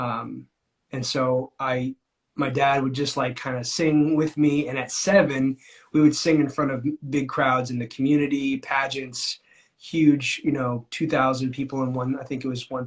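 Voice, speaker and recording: In an American accent, a man speaks at a moderate pace with a medium pitch, a somewhat breathy quality and monotone, flat intonation. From California (Amador County). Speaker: singer-songwriter. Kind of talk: interview.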